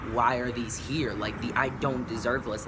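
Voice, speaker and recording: A man is speaking in a room with audible echo. Noticeable background noise is also present. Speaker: YouTuber, vlogger. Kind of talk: casual vlog monologue. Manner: halting, many fillers.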